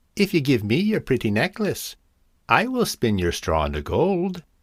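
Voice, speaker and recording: A man does a put-on character voice at a fairly high pitch. His pitch swings very widely as he goes at a moderate pace. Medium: read story.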